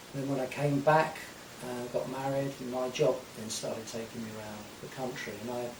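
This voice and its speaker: Audible room echo and noticeable background noise accompany a man speaking at a moderate pace in a medium pitch with fairly even intonation. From Essex, England. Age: 60s. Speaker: folk guitarist. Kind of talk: radio interview. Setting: radio studio.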